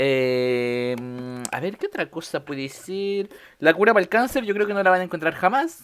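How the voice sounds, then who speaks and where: A Chilean accent at a moderate pace with long, frequent pauses, in a very clean recording over a silent background. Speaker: podcast host. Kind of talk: casual chat.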